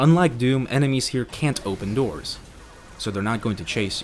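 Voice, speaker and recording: Music plays in the background as a man speaks at a fairly quick pace. His pitch is medium and his intonation lively. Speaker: game reviewer. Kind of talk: video game review narration. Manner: casual, profane.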